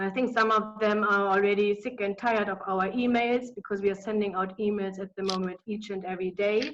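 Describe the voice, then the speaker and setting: A woman with a German accent speaks at medium pitch in a monotone, flat delivery, going at a fairly quick pace with hardly any pauses. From Germany. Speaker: business consultant. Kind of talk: webinar presentation. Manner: hesitant, many fillers.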